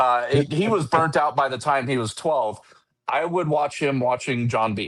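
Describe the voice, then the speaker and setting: This man speaks with a fairly high pitch. His pitch varies in an ordinary way. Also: moderate pace. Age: 40s. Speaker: fishing company marketing manager and angler. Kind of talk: casual podcast chat. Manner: halting, repeats words often.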